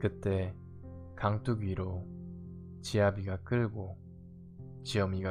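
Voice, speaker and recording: Music plays behind a voice that moves at a very slow pace with fairly even intonation. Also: man. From Korea. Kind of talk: poetry reading. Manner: soft-spoken, slow.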